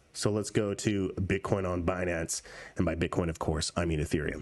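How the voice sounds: In a put-on character voice, a man speaks at a moderate pace with a very deep, low pitch, a raspy sound and fairly even intonation.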